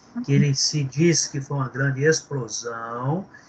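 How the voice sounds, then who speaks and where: Fairly slow and fairly high for a man, this male voice has ordinary pitch variation over noticeable background noise. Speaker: theology teacher. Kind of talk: lecture.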